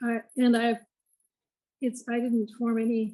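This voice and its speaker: A woman speaks at a moderate pace. Her tone is dark and mellow. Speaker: stroke survivor and former art teacher. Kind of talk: personal testimony in online discussion. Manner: somewhat monotone speech after stroke; halting, with restarts.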